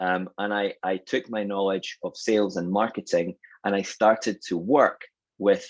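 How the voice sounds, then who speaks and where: A man speaks with a Scottish accent at a fairly low pitch. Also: dry, close sound with no echo. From Scotland. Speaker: sales and marketing consultant. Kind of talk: webinar presentation.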